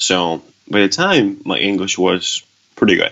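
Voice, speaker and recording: A man's fairly low-pitched, fairly slow speech with a Spanish accent. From Venezuela. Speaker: author. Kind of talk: interview. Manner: halting, with repetitions.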